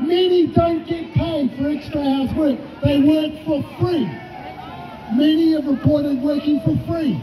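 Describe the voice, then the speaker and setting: A man's extremely high voice at a fairly slow pace, with fairly even intonation and crowd noise in the background. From New Zealand. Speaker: trade union official. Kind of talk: rally speech, defiant protest address. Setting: outdoor rally with crowd. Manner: fiery and combative, punching repeated phrases for emphasis; mocking taunts aimed at opponents. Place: street. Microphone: handheld.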